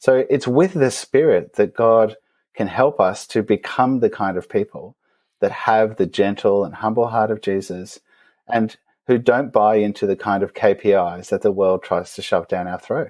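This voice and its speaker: A man with an Australian accent at a moderate pace, on a very clean recording with a silent background. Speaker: theologian. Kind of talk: interview.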